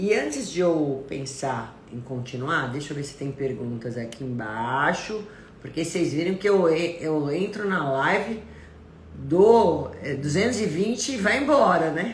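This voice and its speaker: A woman with a very deep, low pitch speaks with very wide pitch swings, with audible room echo and noticeable background noise. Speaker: nutritionist. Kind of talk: live stream talk. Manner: stern-sounding intonation; animated.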